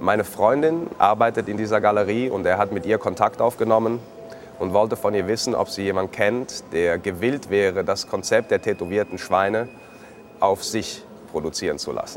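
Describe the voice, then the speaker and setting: A man speaks with a normal speaking voice at a fairly low pitch. His pace is moderate and his pitch variation ordinary. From Switzerland, Zurich. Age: 30s. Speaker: living artwork, tattooed art subject. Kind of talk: personal account to camera.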